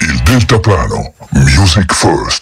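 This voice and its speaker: Putting on a character voice, a man talks very slowly with a very deep, low pitch and very wide pitch swings. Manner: anguished.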